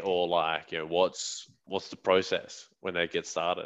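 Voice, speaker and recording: In an Australian accent, a man speaks at a fairly slow pace with a very deep, low pitch and a bright, sharp tone over a quiet background. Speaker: podcast host. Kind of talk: interview.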